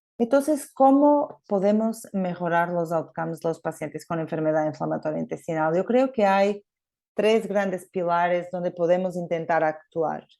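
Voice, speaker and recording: Against a quiet background, a woman with a Portuguese accent speaks in a fairly low pitch with a dark, mellow tone and lively intonation. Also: moderate pace. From Portugal. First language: Portuguese (speaking Spanish). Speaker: gastroenterologist. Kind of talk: conference talk. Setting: remote presentation. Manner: hesitant, many fillers.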